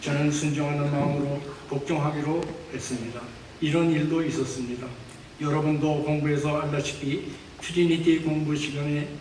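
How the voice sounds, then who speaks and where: Over noticeable background noise, a man talks in a fairly high pitch with a monotone, flat intonation. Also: moderate pace. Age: 80s+. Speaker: church elder. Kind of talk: testimony speech at church.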